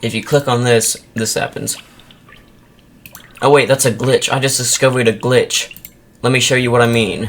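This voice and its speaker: Over noticeable background noise, a man at a medium pitch speaks at a moderate pace in a monotone, flat intonation with long, frequent pauses. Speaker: indie game developer. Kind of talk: tutorial. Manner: casual, halting.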